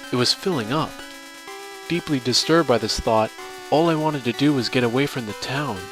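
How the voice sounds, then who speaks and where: With music in the background, a man speaks at a fairly quick pace, medium pitch and ordinary pitch variation. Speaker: voice-over narrator. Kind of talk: horror story narration.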